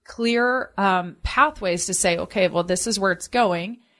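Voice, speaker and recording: Over a quiet background, a woman speaks at a moderate pace with ordinary pitch variation in an ordinary speaking voice. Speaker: financial advisor. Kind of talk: infomercial sales pitch with urgent call to action, repeating the phone number. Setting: radio broadcast, paid program. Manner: persuasive and earnest, pushing listeners to call now.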